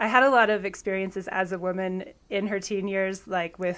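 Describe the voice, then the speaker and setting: A woman with an ordinary speaking voice at medium pitch and moderate pace, on a very clean recording with a silent background. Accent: American. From US Pacific Northwest, Washington State. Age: 30s. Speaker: javelin thrower. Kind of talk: podcast interview.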